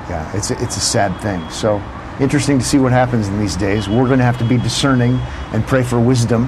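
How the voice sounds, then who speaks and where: A man at a medium pitch talking at a very fast pace, with noticeable background noise. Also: ordinary pitch variation. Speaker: radio host. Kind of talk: casual chat. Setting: outdoors.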